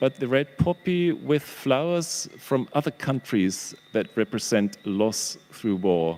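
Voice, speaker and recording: A man with a German accent speaks very slowly in a dark, mellow tone, with very wide pitch swings, very even loudness and hardly any pauses, in a dry, close sound with no echo. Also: medium pitch for a man. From Germany. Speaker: professor, historian and exhibition curator. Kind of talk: panel presentation. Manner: halting, with many fillers.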